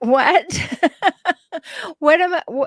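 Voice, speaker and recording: Recorded very cleanly with a silent background, a woman's voice has a dry, close sound with no echo and ordinary pitch variation. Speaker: relationship show co-host, psychologist. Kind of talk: casual chat. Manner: calm.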